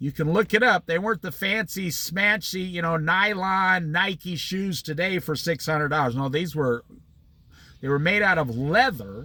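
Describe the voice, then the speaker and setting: An American man with an American accent talks at a moderate pace in an animated tone. His voice is high-pitched, bright and sharp, with ordinary pitch variation. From Iowa, US Midwest. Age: 60s. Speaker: Bible study teacher. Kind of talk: Bible study talk.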